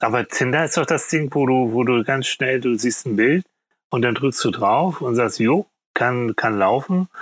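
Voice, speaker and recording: An ordinary speaking voice from a man, medium in pitch with ordinary pitch variation and very even loudness, dry and close with no echo, over a quiet background. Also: fairly slow pace. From Hamburg, northern Germany. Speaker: psychologist and TV therapist. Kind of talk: casual interview.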